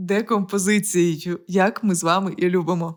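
A woman talks animatedly, and the recording is very clean with a silent background. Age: 30s. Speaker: podcast host, producer. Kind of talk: motivational talk.

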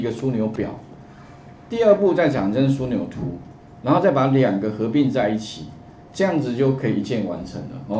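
There is audible room echo around this man's voice. Light background noise can also be heard. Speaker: computer course teacher. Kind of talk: lecture. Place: classroom.

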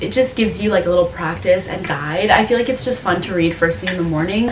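Ordinary pitch variation, with light background noise and audible room echo. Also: woman. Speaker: lifestyle vlogger. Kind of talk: casual vlog chat. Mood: calm, upbeat. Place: home room. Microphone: camera far.

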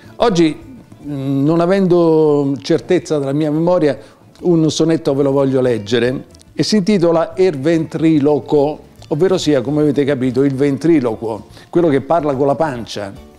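Faint music sits behind a man talking at a moderate pace. His pitch is fairly high, with ordinary variation. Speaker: poet. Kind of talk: casual talk to camera. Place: home room.

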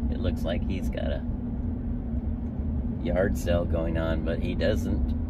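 The speech comes very slowly, with a dry sound that has no echo, over loud background noise. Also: man. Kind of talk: casual vlog chat. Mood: amused, joking. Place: car. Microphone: phone near.

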